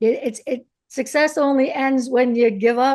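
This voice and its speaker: A woman's unremarkable speaking voice, fairly high in pitch, at a moderate pace with a quiet background. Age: 60s. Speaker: author and interviewer. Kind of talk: interview conversation.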